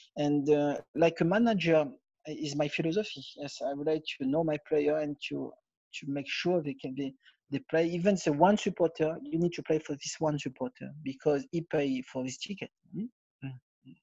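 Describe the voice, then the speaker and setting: This man has a French accent and a fairly high pitch, with a dark, mellow tone and ordinary pitch variation. He talks at a moderate pace in a dry, close sound with no echo. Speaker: former footballer and football manager. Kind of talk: interview. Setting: remote call. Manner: halting.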